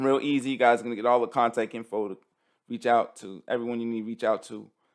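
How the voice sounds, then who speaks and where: The speaker is a man. The recording is very clean, its background silent. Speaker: business coach selling an online course. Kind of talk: sales pitch. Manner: fast; casual, repetitive with many fillers.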